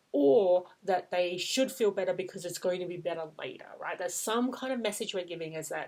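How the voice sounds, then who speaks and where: This is an ordinary speaking voice from a woman with a fairly low pitch and ordinary pitch variation. She keeps a moderate pace with hardly any pauses. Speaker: parenting coach. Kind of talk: tutorial.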